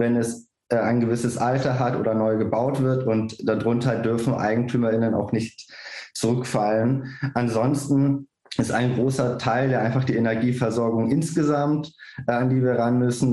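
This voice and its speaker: At a moderate pace, a man speaks in a medium pitch with very even loudness and monotone, flat intonation. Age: 30s. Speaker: political candidate. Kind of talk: panel discussion.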